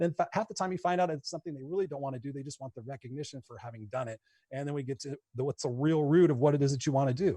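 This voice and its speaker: Very fast and somewhat breathy, a man speaks with a fairly high pitch, a dark, mellow tone, ordinary pitch variation and big swings in loudness, in a dry, close sound with no echo. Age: 50s. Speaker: motivational coach and speaker. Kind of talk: casual chat. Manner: animated.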